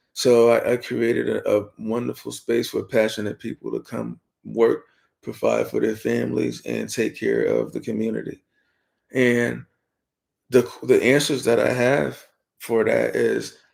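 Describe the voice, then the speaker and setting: Soft-spoken, a man talks at a fairly slow pace. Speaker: podcast co-host and barbershop owner. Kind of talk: casual chat.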